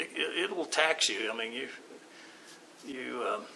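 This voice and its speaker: This is a man with an American accent. Behind him, background noise is noticeable. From Oklahoma City. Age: 60s. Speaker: artist and art teacher. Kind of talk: interview. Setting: art walk event. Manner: halting, many fillers.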